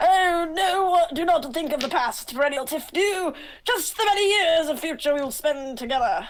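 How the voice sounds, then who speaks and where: A woman's put-on character voice, strained and extremely high in pitch. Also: moderate pace. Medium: actual play. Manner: flowery, formal.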